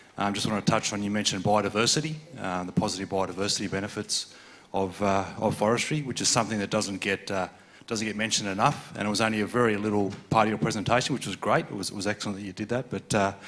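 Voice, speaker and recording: With music in the background, a man with an Australian accent talks at a very fast pace and a fairly low pitch, keeping fairly even intonation. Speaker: conference audience member. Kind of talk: audience question at conference. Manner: halting, many fillers and repetitions.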